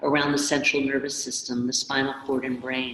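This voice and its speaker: A woman talks in a calm tone. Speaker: movement class teacher. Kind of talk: guided movement session. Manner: calm, slow.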